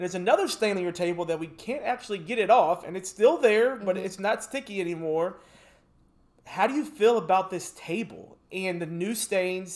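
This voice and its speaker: Speaking at a fairly quick pace with an American accent, a man has a high pitch and ordinary pitch variation. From US South. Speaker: podcast co-host and football mentor. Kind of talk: casual chat.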